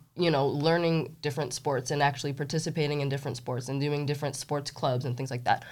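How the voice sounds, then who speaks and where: On a very clean recording with a silent background, a woman with a very deep, low pitch speaks in a monotone, flat way at a very fast pace with hardly any pauses. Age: 30s. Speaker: Olympic weightlifter and coach. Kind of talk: casual interview.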